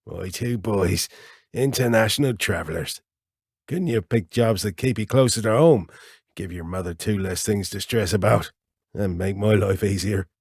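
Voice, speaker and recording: Using a put-on character voice, a raspy man with a fairly low pitch speaks at a moderate pace with ordinary pitch variation, in a dry, close sound with no echo. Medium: read story. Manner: easygoing, joking.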